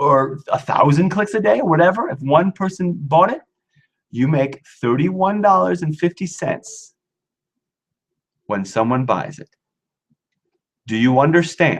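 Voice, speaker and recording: The delivery is fairly slow, broken by long, frequent pauses. The intonation stays lively. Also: man, fairly high pitch for a man. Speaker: acting business coach. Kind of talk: live webinar. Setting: live online webinar. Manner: animated.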